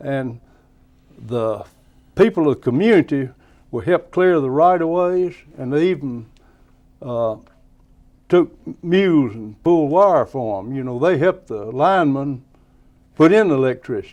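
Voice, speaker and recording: With a Tennessee accent, a man speaks in a fairly high pitch with lively intonation, big swings in loudness and long, frequent pauses against a quiet background. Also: moderate pace. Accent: Southern US (Tennessee). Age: 80s+. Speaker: plumbing and electrical business owner. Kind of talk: interview, reminiscing.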